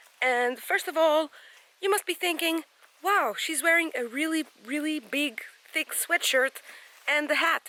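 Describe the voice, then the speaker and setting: Her pitch is high and her intonation lively as she projects a raised voice at a moderate pace. The woman's sound is dry and close, with no echo. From Portugal. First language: Portuguese. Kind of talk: casual vlog talk to camera. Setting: outdoors in a forest.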